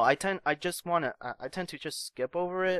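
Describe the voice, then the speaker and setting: The voice belongs to a man with a high pitch. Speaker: gaming YouTuber. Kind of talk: casual talk to camera. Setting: home recording, tabletop mic. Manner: stuttering, hesitant.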